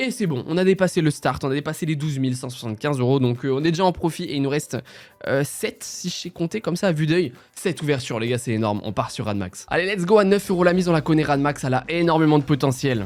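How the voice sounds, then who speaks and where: A man with a fairly high pitch, an animated tone, lively intonation and a very fast pace. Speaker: casino streamer. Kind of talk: live gambling commentary.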